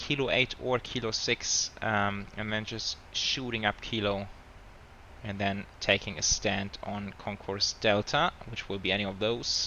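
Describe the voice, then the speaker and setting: A man speaks with a German accent at a fairly low pitch. His pace is very slow. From Germany. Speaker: flight sim streamer. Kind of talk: live stream commentary. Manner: casual, hesitant with fillers.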